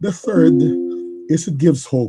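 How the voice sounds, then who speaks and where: The voice belongs to a man and sounds somewhat breathy. It sits at a medium pitch. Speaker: engineer and business leader. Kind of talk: livestream interview. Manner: halting.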